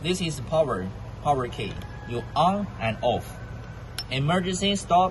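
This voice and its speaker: A man talking at a fairly slow pace amid noticeable background noise. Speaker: machinery seller. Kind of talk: tutorial. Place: factory. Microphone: phone near.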